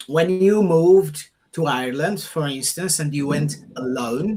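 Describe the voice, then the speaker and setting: Very slowly, a man delivers his words in a fairly high voice whose pitch varies in an ordinary way. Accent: Portuguese. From Portugal. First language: Portuguese. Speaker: podcast host. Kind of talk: conversational interview.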